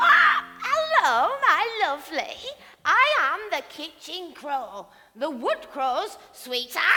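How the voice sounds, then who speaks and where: A female-sounding put-on character voice talks at a very slow pace. Its pitch swings very widely. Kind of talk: fairy-tale stage acting. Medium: stage play. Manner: warm, cosy, motherly.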